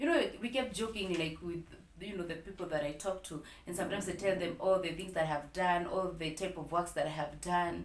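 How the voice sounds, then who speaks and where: A woman's fairly low voice amid audible room echo and noticeable background noise. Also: ordinary pitch variation. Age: 30s. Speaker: vlogger. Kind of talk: personal storytime vlog. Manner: slow; hesitant, many fillers.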